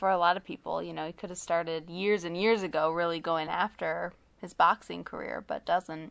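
A woman's ordinary speaking voice, fairly low-pitched, fairly quick, with hardly any pauses, fairly even intonation, big swings in loudness and a quiet background. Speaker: podcast co-host. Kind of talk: casual podcast chat. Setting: recorded remotely, not in the same room.

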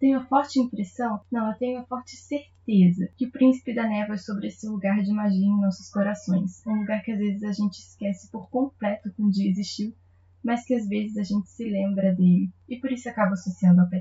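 A woman with a somewhat breathy, medium-pitched voice talks at a fairly quick pace with fairly even intonation and hardly any pauses. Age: 20s. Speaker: literary podcast host. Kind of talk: book review monologue.

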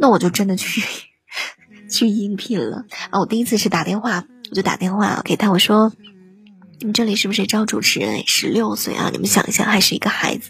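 Over music in the background, a woman talks at a fairly quick pace with big swings in loudness. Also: medium pitch for a woman. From northern China. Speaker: livestream radio host. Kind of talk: casual livestream chat. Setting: live online broadcast. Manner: animated.

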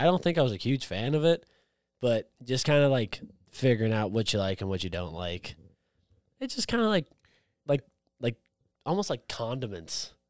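A man at medium pitch with an American accent, at a fairly quick pace with long, frequent pauses and very wide pitch swings, in a dry, close sound with no echo. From outside the US. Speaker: craft beer podcast co-host. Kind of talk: casual chat.

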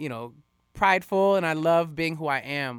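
On a very clean recording with a silent background and a dry, close sound with no echo, a man with a plain, everyday voice talks at a moderate pace with lively intonation. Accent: American. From Florida, West Palm Beach. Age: 30s. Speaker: dancer and singer. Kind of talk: casual chat. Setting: studio.

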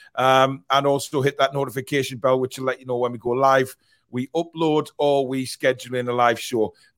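A fairly quick Geordie accent with fairly even intonation, dry and close with no echo. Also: man. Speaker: football fan podcast host. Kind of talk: casual chat. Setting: live stream.

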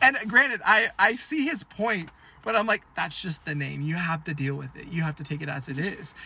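With an American accent and lively intonation, a high-pitched man speaks at a moderate pace, his loudness swinging widely over noticeable background noise. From Washington state, US. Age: 19. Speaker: podcast co-host, university student. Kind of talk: casual chat.

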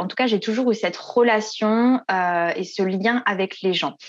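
In a quiet setting, a woman talks with ordinary variation in pitch. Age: 30s. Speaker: business coach. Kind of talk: interview. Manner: hesitant, many fillers.

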